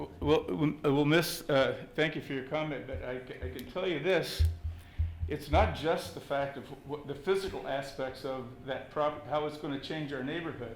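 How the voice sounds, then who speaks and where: With music in the background and audible room echo, the voice shows ordinary pitch variation. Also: man, fairly high pitch for a man, moderate pace. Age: 70s. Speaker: resident speaking at public meeting. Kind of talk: public comment at council meeting. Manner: halting, stammering.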